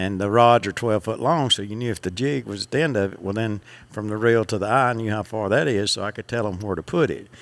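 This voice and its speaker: A man with a Southern US accent speaks at a very fast pace, with hardly any pauses. His pitch is fairly low, and the recording is very clean with a silent background. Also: ordinary pitch variation. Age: 60s. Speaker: fishing guide. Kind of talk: casual interview.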